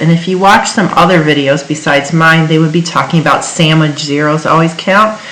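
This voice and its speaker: A woman with a very deep, low pitch speaks at a moderate pace with fairly even intonation, amid noticeable background noise and audible room echo. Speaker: chemistry teacher. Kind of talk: tutorial.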